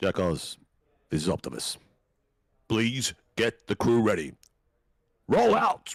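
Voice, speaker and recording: A man puts on a raspy character voice at a medium pitch. He moves at a fairly slow pace with long, frequent pauses. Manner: commanding, heroic.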